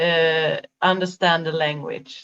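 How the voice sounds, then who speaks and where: A woman speaks with a Swedish accent. Her pace is very slow. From Sweden. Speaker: life coach. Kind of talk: interview conversation. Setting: video call. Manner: halting, many fillers.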